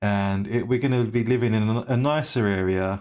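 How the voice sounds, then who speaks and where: In a very clean recording with a silent background, a man speaks with a London accent at a medium pitch. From England, East London. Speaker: sim racing streamer. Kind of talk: casual chat. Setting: live stream.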